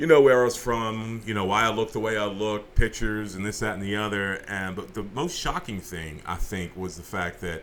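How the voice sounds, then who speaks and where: Speaking at a moderate pace with an American accent, a man has a fairly low pitch, and audible room echo surrounds his voice. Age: 40s. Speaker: interview guest. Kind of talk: casual interview. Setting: radio studio. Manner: halting, many repetitions.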